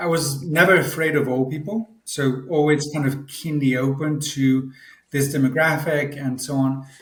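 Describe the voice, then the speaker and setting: A man speaks with a French accent at a moderate pace. His pitch is fairly high, and his intonation stays fairly even. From France. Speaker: senior care tech executive. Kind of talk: podcast interview. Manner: halting, many repetitions.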